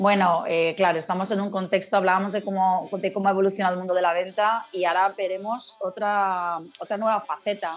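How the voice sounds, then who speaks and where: Speaking fairly quickly at a medium pitch with hardly any pauses, a woman keeps her intonation monotone and flat. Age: 40s. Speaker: sales trainer, speaker and author. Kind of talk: interview.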